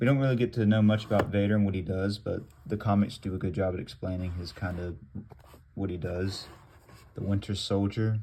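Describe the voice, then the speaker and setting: A man's fairly low, normal speaking voice at a moderate pace with fairly even intonation. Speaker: gaming youtuber. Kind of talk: casual show-and-tell vlog.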